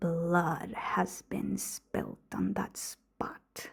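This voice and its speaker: A woman is whispering in a put-on character voice. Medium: read story. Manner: low, mysterious.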